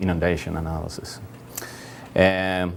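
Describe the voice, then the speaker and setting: Over light background noise, a man with a Swedish accent speaks at a moderate pace. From Sweden. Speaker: GIS consultant; conference presenter. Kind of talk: conference presentation. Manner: halting. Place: hall.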